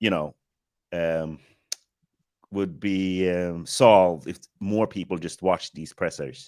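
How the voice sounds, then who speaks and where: With an American accent, a man speaks at a fairly slow pace in a very deep, low pitch. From Sweden. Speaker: film director, podcast guest. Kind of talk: casual chat.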